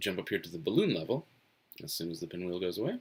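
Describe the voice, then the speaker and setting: A man speaks with an American accent in a very clean recording with a silent background. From US Northeast. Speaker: webcomic artist. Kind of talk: live-stream drawing commentary. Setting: home office, live stream. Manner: mumbles to himself.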